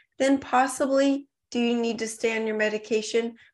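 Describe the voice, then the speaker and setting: A woman speaks with an American accent at a moderate pace. She has an ordinary speaking voice. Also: quiet background. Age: 40s. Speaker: supplement company founder. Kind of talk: interview.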